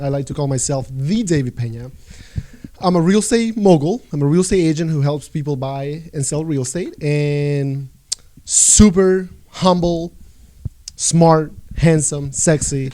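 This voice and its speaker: Here a man speaks with a Spanish accent at a fairly high pitch. There is ordinary pitch variation and noticeable background noise. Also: fairly slow pace. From El Salvador. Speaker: real estate agent. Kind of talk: casual chat.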